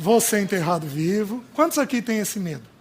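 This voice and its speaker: The man's pitch is high and swings very widely. He talks at a moderate pace. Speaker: preacher. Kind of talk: sermon.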